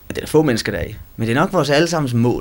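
A man talking very fast with lively intonation. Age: 20s. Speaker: student. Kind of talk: interview testimony.

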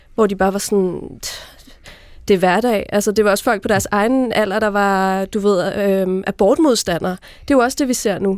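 Here a woman uses a plain, everyday voice at medium pitch with ordinary pitch variation. She keeps a moderate pace and very even loudness. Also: very clean recording, silent background. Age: 30s. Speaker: magazine editor-in-chief. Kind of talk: panel discussion. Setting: radio studio.

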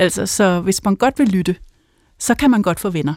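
A woman at a medium pitch, moderate pace and ordinary pitch variation, on a very clean recording with a silent background. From Denmark, North Zealand (Helsinge). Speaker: author. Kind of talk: interview conversation. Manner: halting, many filler sounds.

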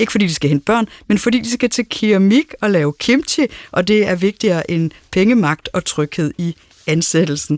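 In a dry, close sound with no echo, a woman with a normal speaking voice talks at a moderate pace and medium pitch, her intonation lively. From Denmark, Aarhus. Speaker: radio host and moderator. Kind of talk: radio panel discussion. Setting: studio.

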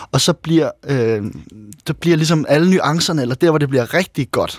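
A man talks at a moderate pace with ordinary pitch variation, in an unremarkable speaking voice. The recording is very clean, with a silent background. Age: 30s. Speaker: author and former handball player. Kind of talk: interview.

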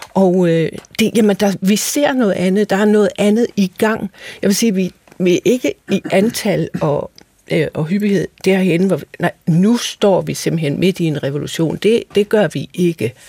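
At a fairly slow pace, a woman with a medium pitch and a dark, mellow tone speaks with ordinary pitch variation in a dry, close sound with no echo. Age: 60s. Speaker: fashion researcher and model. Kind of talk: radio discussion. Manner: hesitant.

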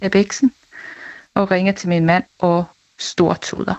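A woman speaks at a medium pitch and a fairly slow pace. Her intonation is flat and monotone. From Denmark, Næstved. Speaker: listener. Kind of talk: testimony.

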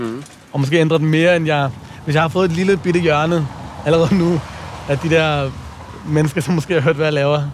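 A man's fairly high voice, fairly even in intonation, at a moderate pace over noticeable background noise. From Copenhagen, Nørrebro. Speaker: playwright and rapper. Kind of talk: casual chat. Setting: outdoors.

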